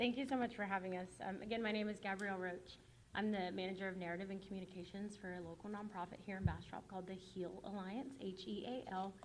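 Very fast speech with hardly any pauses and fairly even intonation, plus audible room echo and noticeable background noise. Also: woman, medium pitch for a woman. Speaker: nonprofit communications manager. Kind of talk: public presentation at board meeting. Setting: school board meeting with audience.

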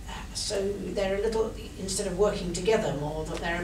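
A woman speaking at a moderate pace over noticeable background noise. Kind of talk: formal speech, partly improvised. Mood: earnest, measured. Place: meeting room. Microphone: camera far.

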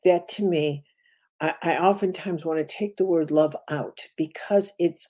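Her pace is fairly slow and her pitch fairly low. The woman's tone is dark and mellow over a quiet background. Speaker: spiritual teacher. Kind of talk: lecture. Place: home room. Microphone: webcam.

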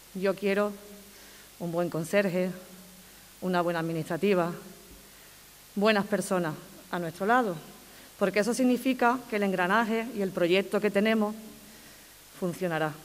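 A woman talks at a moderate pace with ordinary pitch variation. Her speech has long, frequent pauses. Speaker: school principal. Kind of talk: ceremonial speech. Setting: stage with audience. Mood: warm, grateful. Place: hall. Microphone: podium.

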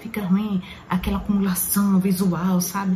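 There is light background noise as a woman talks in a fairly low pitch. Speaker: perfume vlogger. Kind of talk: casual vlog chat. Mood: reflective, earnest advice. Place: home room. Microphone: phone near.

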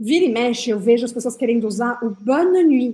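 A woman's high-pitched voice in a dark, mellow tone, with lively intonation at a moderate pace. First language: French (speaking Portuguese). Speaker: French teacher. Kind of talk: tutorial. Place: home room.

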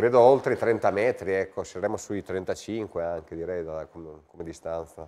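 A man's very deep, low voice, dark and mellow in tone, with ordinary pitch variation, big swings in loudness and a moderate pace. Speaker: amateur football club official and sports commentator. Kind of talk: live sports commentary.

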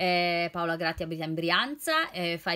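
A woman speaks at a fairly slow pace in a warm tone and fairly low pitch, with a quiet background behind her. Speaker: nutritionist and library reading advisor. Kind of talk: poetry reading aloud, intimate and sincere, after casual chatty book-recommendation talk. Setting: home video recording during lockdown. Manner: expressive, slow and emotive when reading verses; warm, friendly, conversational. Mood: warm, cheerful. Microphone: phone near.

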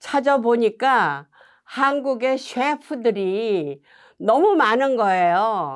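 The intonation is lively. The background is quiet. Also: woman. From South Korea (Seoul and Busan). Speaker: Korean American immigrant sharing life story; interviewee. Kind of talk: oral history interview. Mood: calm, reflective storytelling. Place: studio.

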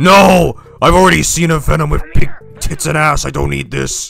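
In a put-on character voice, a man sounds gravelly, raspy and rumbling at a moderate pace, with faint music in the background. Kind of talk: impression of a film monster voice. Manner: playful, sardonic.

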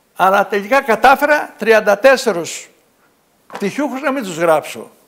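Speaking high and at a fairly slow pace, a man uses lively intonation and big swings in loudness against a quiet background. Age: 70s. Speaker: local author; guest. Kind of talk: TV interview. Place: studio. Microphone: lapel.

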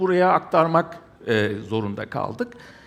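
Very wide pitch swings at a very slow pace. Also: man. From Germany. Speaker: architect. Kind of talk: conference presentation. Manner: hesitant with frequent fillers.

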